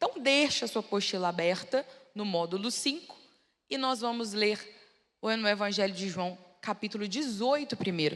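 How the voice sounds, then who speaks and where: Here a woman's intonation is lively. She speaks at a moderate pace and medium pitch. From Brazil, Belo Horizonte. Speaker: preacher. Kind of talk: sermon. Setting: church with audience.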